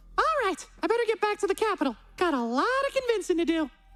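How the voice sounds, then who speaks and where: In a squeaky, put-on character voice, the speaker rattles along at a very fast pace. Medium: video game. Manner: casual, stammering.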